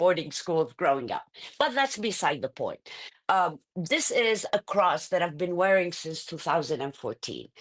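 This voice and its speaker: Medium pitch from a woman at a moderate pace, against a quiet background. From Iraq. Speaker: journalist and congressional candidate. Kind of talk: interview. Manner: halting, many fillers.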